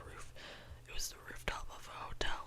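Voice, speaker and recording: A woman whispers at a moderate pace while noticeable background noise runs behind her. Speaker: YouTuber. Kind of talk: ASMR whisper ramble. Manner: whispered, casual.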